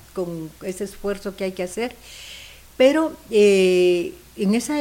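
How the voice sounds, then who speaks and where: A woman with a plain, everyday voice talks at a medium pitch and a fairly slow pace, her intonation lively. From Guatemala. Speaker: singer. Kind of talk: casual chat.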